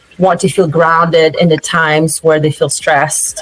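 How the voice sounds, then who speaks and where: A woman's fairly low voice in a flat monotone at a moderate pace, with noticeable background noise. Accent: non-native. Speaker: meditation coach, business founder. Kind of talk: interview. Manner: hesitant, many fillers.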